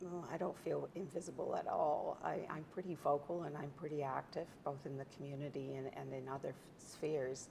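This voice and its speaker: A woman speaks at a fairly quick pace with hardly any pauses. There is noticeable background noise. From Scotland. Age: 60s. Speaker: author and founder of a women's professional network. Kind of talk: interview. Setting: her studio on a farm.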